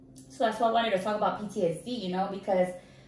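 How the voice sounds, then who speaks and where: In an animated tone, a woman speaks amid noticeable background noise and audible room echo. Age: 30s. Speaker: Navy veteran, podcast host. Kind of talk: casual interview chat.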